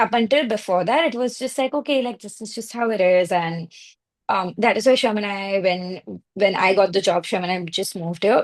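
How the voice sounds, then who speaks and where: With an Indian accent, a woman speaks at a medium pitch and a fairly quick pace. Her pitch variation is ordinary, and the background is quiet. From India (Mumbai). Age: 30s. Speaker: marketing and PR professional, immigrant. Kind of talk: podcast interview. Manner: hesitant, many fillers.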